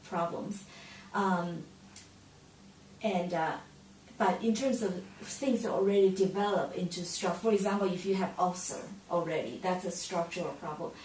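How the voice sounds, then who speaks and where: Amid audible room echo and noticeable background noise, a woman speaks at a moderate pace in a medium pitch with ordinary pitch variation and long, frequent pauses. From Taiwan. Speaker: acupuncturist. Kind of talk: interview. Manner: halting, with many fillers.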